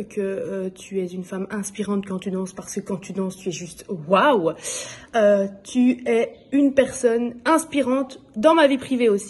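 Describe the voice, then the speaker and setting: Here a woman talks at a fairly slow pace. Her pitch sits in the medium range. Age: 20s. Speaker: nurse and belly dance student. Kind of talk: testimony. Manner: hesitant, many filler sounds.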